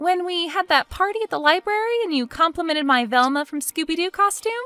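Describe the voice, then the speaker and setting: A woman's put-on character voice, extremely high and squeaky, very fast with lively intonation, in a dry, close recording with no echo. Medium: cartoon. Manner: teasing, witty.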